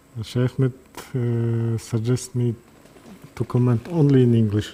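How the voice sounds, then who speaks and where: A man speaks in a Kazakh accent at a medium pitch and a fairly slow pace. His intonation is monotone and flat, with noticeable background noise. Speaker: neurosurgeon. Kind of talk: live surgical commentary. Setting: operating room, livestream. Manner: halting.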